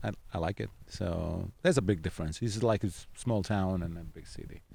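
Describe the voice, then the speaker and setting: A dark, mellow tone in an Italian accent, at a moderate pace. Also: man. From Southern Italy. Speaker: singer-songwriter and guitarist. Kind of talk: interview. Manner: halting, many fillers.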